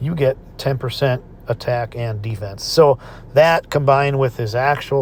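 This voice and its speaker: A man with a medium-pitched, somewhat breathy voice speaks at a fairly slow pace. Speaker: gaming YouTuber. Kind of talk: gameplay tutorial. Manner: halting, many fillers.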